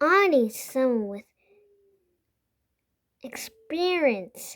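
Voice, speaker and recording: Using a put-on character voice, a woman speaks at a very slow pace and a high pitch with very wide pitch swings. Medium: read story.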